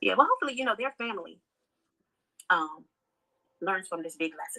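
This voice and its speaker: Her tone is bright and sharp as a woman speaks at a very fast pace. The sound is dry and close, with no echo. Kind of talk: casual live stream commentary. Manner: mumbling.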